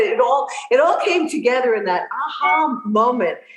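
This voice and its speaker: A woman with an American accent speaks at a moderate pace amid noticeable background noise. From New York, Long Island. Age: 60s. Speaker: fitness influencer and boxer. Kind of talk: podcast interview. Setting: podcast interview.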